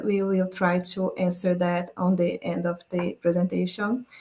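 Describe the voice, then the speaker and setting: A woman speaks with a Portuguese accent at a medium pitch. Her delivery is fairly slow and somewhat breathy. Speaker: climate journalist. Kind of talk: presentation.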